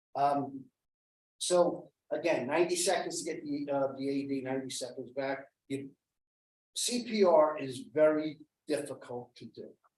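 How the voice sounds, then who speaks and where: The man's pitch is fairly high, with ordinary variation and big swings in loudness. He keeps a moderate pace broken by long, frequent pauses. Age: 60s. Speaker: CPR and AED trainer. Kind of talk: safety training talk. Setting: meeting room around a table.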